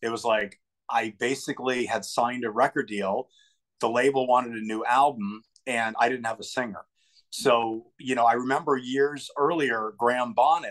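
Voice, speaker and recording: A man speaks at a moderate pace. His intonation stays fairly even against a quiet background. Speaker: guest. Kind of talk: interview answer. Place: home room. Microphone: video call.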